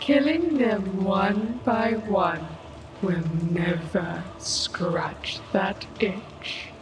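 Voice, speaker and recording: Doing a put-on character voice, a woman at medium pitch speaks at a very slow pace, with slight echo and clear background noise. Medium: audio drama. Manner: calm, knowing.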